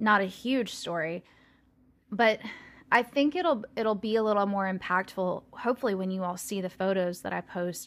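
A woman with an unremarkable speaking voice keeps a medium pitch, ordinary pitch variation and a moderate pace. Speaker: podcast host. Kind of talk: true-crime narration. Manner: measured, steady storytelling pace; conversational, lightly informal asides.

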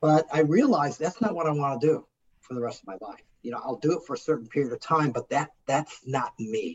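A man talks at a fairly quick pace in an ordinary speaking voice. His pitch sits fairly high. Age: 60s. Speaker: business executive and author. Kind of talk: interview.

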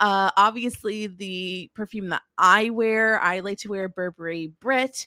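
This woman's medium-pitched voice has a bright, sharp, upbeat tone and moves at a fairly slow pace with hardly any pauses. The sound is dry and close, with no echo. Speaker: podcast co-host. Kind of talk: casual chat. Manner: chatty, upbeat, interrupts.

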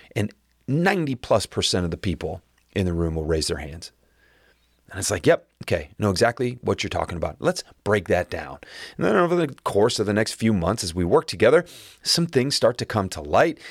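The pitch swings very widely, with a dry, close sound free of echo and a very clean recording over a silent background. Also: man, fairly low pitch for a man, moderate pace. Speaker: sales podcast host. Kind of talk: solo podcast monologue. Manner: conversational, with fillers.

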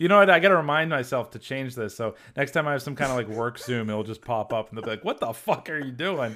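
Talking at a very fast pace, a man with an American accent has a medium pitch and lively intonation. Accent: Boston accent, coming back. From Massachusetts. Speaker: comedy video creator. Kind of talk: casual chat. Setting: video call.

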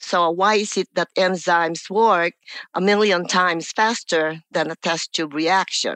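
A woman's bright, sharp voice at a fairly slow pace, dry and close with no echo. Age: 70s. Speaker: chemist and company founder. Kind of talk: interview.

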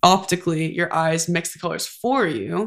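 Fairly low in pitch, a woman speaks at a fairly slow pace. It is a very clean recording with a silent background. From California, Santa Cruz. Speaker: art graduate. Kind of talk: casual chat.

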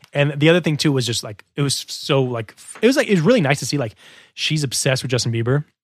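A man speaks at a very fast pace in a fairly high, somewhat breathy voice. His pitch varies in an ordinary way. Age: 20s. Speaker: podcast co-host. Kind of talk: casual chat. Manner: halting.

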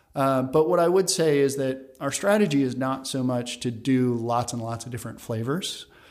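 A man speaks at medium pitch and a moderate pace with ordinary pitch variation. He has an ordinary speaking voice and hardly pauses. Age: 40s. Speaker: food company founder. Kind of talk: interview.

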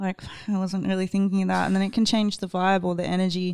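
In an Australian accent, a woman talks at a very fast pace at medium pitch with monotone, flat intonation, in a dry, close sound with no echo. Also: very clean recording, silent background. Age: 30s. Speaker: DJ and radio host. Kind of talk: casual chat. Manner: laughs often, relaxed.

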